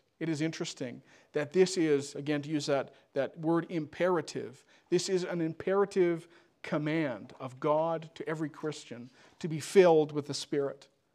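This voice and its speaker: Fairly even intonation at a moderate pace on a very clean recording with a silent background. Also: man, fairly high pitch for a man. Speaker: preacher. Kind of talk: sermon. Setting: church. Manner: earnest, exhortative, with emphatic rhetorical questions; pastoral and urgent, repeating phrases for emphasis.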